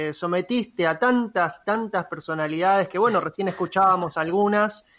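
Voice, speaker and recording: High-pitched, a man speaks with ordinary pitch variation. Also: quiet background. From Argentina. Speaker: radio co-host. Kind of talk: casual interview chat.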